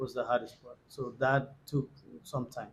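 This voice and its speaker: A man speaks with a Spanish accent. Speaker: Spanish teacher. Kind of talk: interview. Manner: halting, many fillers.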